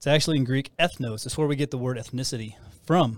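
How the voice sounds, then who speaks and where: Heard on a very clean recording with a silent background, a man with an American accent uses a plain, everyday voice at a fairly high pitch, a fairly quick pace and ordinary pitch variation. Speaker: podcast host, church ministry. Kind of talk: casual conversational teaching.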